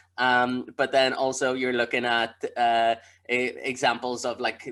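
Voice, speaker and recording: A man with a Northern Irish accent speaks at a medium pitch with a bright, sharp tone and monotone, flat intonation. The recording is very clean, with a silent background. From Belfast, Northern Ireland. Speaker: comedian. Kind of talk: casual podcast interview answer.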